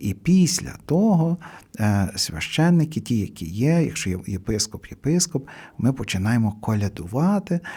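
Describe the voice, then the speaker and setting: Somewhat breathy with a dark, mellow tone, a man speaks fairly slowly at medium pitch, swinging very widely in pitch. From Hutsul region, western Ukraine (Kuty). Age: old. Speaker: priest. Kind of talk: radio interview. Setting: radio studio. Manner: halting with fillers.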